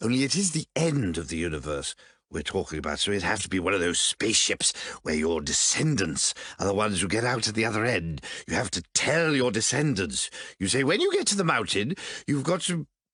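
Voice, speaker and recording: A man puts on a character voice, fairly low in pitch. He talks at a fairly quick pace with very wide pitch swings. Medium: audio drama. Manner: fussy, stammering, old-fashioned.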